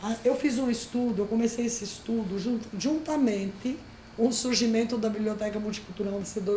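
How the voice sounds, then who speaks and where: Fairly quick pace and ordinary pitch variation, with audible room echo and noticeable background noise. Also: woman. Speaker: librarian teaching an online course. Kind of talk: lecture.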